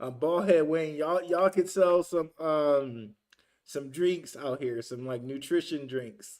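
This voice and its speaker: An unremarkable speaking voice from a man with an American accent, pitched fairly high. He talks at a fairly slow pace with ordinary pitch variation. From Detroit, US. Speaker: crypto YouTuber. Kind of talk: livestream reaction, reading chat. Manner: casual, filler-heavy.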